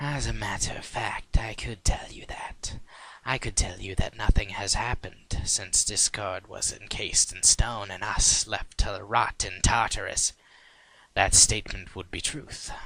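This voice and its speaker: A man whispers. He uses a put-on character voice. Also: moderate pace. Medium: read story. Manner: sly, insinuating.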